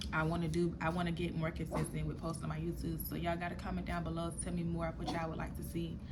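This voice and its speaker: Amid audible room echo and noticeable background noise, a woman speaks at a very fast pace with hardly any pauses. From Florida, US South. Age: 20s. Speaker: YouTuber. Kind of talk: personal storytelling vlog.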